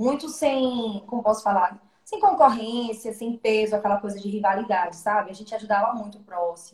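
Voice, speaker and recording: Here is a woman with a plain, everyday voice. She talks at a fairly quick pace, with ordinary pitch variation. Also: fairly high pitch for a woman. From Brazil, Alagoas (Maceió). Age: 20s. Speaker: singer. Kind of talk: interview on a live stream.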